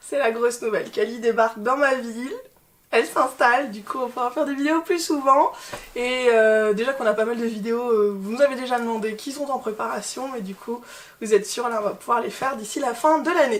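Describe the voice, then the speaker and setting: A woman has a high pitch with ordinary pitch variation. She speaks at a fairly quick pace. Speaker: fashion YouTuber. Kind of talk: casual haul video chat. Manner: loud, shouting.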